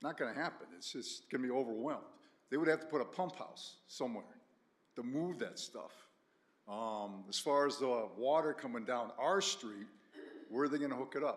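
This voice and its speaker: A man talks at a moderate pace with a medium pitch. He takes long, frequent pauses, and his pitch varies in an ordinary way. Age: 60s. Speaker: resident speaking at public hearing. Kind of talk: public comment at town meeting.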